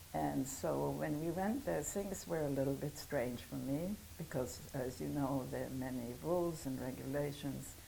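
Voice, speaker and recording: A woman speaks with a German accent at a fairly slow pace. Some room echo can be heard. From Germany. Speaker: Holocaust survivor. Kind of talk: testimony. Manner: halting.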